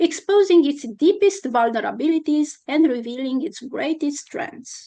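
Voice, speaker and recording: A woman talks at a high pitch with a Romanian accent. Her tone is dark and mellow, her pace moderate and her intonation lively. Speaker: constitutional law scholar. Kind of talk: academic conference talk. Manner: halting with many fillers.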